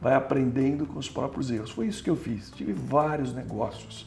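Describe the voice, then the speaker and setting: Lively intonation and a fairly quick pace come through audible room echo and noticeable background noise. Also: man. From Brazil, interior of São Paulo state. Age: 60s. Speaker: entrepreneur and former city official. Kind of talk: interview conversation.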